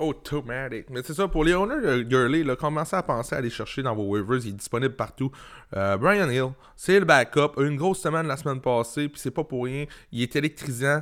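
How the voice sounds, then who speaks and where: Speaking fairly quickly, a man uses a fairly high voice with ordinary pitch variation. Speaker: fantasy football podcast co-host. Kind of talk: casual chat. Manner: halting, many fillers.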